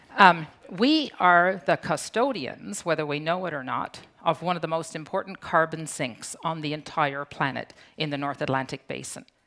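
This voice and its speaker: A woman speaks with a Newfoundland accent and a bright, sharp tone. Her pitch is very deep and low, with ordinary variation. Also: moderate pace, very clean recording, silent background. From Newfoundland, Canada (Fogo Island). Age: 60s. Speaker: conference speaker, founder of a community organization. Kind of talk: conference talk.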